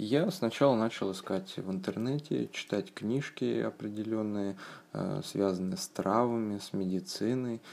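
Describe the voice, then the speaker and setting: Speaking at a very slow pace, a man has a fairly low pitch and a dark, mellow tone. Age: 30s. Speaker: former soldier sharing a health story. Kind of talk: personal testimony. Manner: halting, many fillers.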